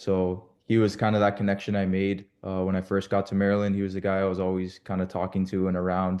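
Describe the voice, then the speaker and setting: The voice has a dark, mellow tone and monotone, flat intonation, moving at a fairly quick pace against a quiet background. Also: man. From Canada. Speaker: former college soccer player. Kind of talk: panel discussion. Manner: casual, many fillers.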